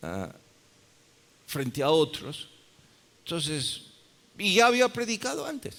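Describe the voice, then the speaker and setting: Vocal fry runs through very slow speech broken by long, frequent pauses. Pitch swings very widely and loudness shifts a lot. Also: man, fairly high pitch for a man. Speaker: pastor. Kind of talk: sermon.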